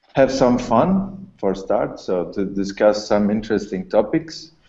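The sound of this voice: Over audible room echo, a man with a fairly low pitch and a dark, mellow tone speaks with lively intonation.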